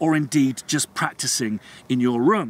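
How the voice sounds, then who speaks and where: The sound is dry, with no echo. A man speaks at a fairly slow pace. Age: 40s. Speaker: composer and video blogger. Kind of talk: vlog monologue. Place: open country.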